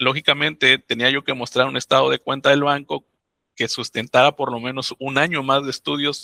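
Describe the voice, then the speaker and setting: A man with a Mexican accent speaks in a bright, sharp tone at a fairly high pitch, with vocal fry. His intonation is monotone and flat, on a very clean recording with a silent background. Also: dry, close sound with no echo. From Mexico, Oaxaca. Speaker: migrant, doctoral graduate and author. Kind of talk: interview storytelling.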